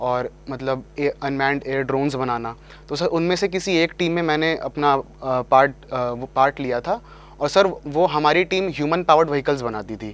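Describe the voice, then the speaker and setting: With normal rises and falls in pitch, a man talks rather slowly. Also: fairly high pitch for a man, dry sound with no echo. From Delhi, India. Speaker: engineering graduate, exam topper; guest. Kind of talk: interview. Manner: formal. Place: studio. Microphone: lapel.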